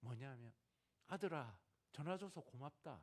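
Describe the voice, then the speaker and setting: This man's voice moves through very wide swings in pitch as he talks. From Gyeongsang, South Korea. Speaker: missionary. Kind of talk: sermon.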